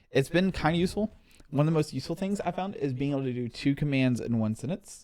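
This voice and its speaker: A man mumbles at a medium pitch in a dark, mellow tone. His intonation is lively. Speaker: tech show co-host. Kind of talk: casual chat. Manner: fast; mumbling.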